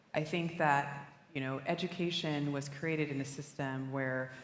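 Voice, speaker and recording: Her pitch very deep and low, a woman speaks with fairly even intonation amid audible room echo and noticeable background noise. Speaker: education panelist. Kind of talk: panel discussion.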